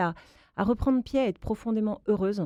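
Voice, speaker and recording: Fairly quick speech comes from a woman with a dark, mellow tone and ordinary pitch variation. The sound is dry and close with no echo, over a quiet background. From Alsace, France. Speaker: author and mother. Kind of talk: radio interview.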